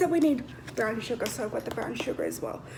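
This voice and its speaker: With noticeable background noise present, a woman talks using ordinary pitch variation. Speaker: vlogger. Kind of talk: casual chat. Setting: home kitchen. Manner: loud.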